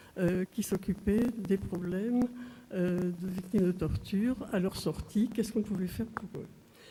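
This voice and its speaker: The voice is somewhat breathy with a dark, mellow tone, moving at a fairly slow pace with fairly even intonation. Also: woman. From southwest France. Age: 80s+. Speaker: physician, trial witness. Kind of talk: court testimony. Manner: hesitant, with frequent fillers.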